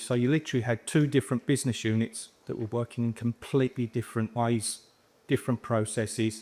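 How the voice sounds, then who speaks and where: A man with a London accent and a medium pitch talks at a fairly quick pace, his intonation monotone and flat. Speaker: housing repairs manager. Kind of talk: conference presentation.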